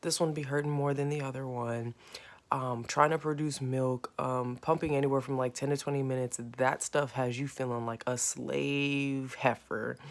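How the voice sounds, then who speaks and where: A woman speaks quietly at a moderate pace. Her very deep, low pitch stays monotone and flat. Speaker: vlogger, new mother. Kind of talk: casual vlog. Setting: at home next to sleeping baby. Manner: casual, filler-heavy; trying to speak quietly.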